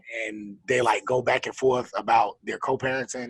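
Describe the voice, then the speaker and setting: With a Southern accent, a man speaks in a bright, sharp tone with vocal fry. The sound is dry and close, with no echo. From Florida. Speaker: podcast co-host. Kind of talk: casual chat.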